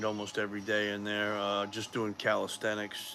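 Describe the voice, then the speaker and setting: A man with an American accent. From Massachusetts. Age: 50s. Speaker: powerlifting vlogger. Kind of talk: casual livestream talk. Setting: livestream. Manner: halting, many fillers.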